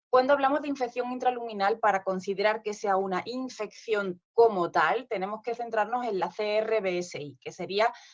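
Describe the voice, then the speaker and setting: The voice keeps a moderate pace with hardly any pauses and ordinary pitch variation. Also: woman, fairly high pitch for a woman. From southern Spain. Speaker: nurse specialist speaker at conference. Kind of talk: conference presentation.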